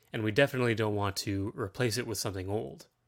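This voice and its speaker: At a fairly quick pace, a man with a plain, everyday voice and a Canadian accent talks at a fairly low pitch with ordinary pitch variation, in a very clean recording with a silent background. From Ontario, Canada. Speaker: political podcaster. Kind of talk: solo monologue.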